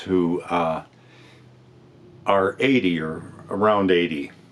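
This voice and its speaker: Over noticeable background noise, a man with a very deep, low voice speaks with fairly even intonation. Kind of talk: casual talk to camera.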